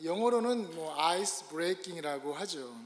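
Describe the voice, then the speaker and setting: The voice carries audible room echo. Its intonation rises and falls in a lively way. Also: man. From Korea. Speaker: pastor. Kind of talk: sermon. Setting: church.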